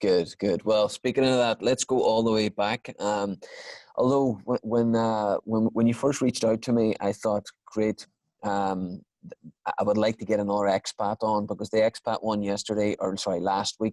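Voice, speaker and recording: A man with an Irish accent speaks in a fairly low pitch. His intonation is monotone and flat. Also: dry, close sound with no echo. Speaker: podcast host. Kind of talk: podcast interview. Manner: fast.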